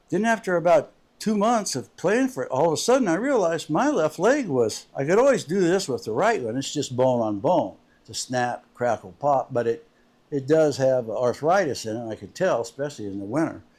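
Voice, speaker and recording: On a very clean recording with a silent background, a man talks at a fairly quick pace in a fairly high pitch with very wide swings. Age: 70s. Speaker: amateur golf video creator, truck driver. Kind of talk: casual vlog monologue.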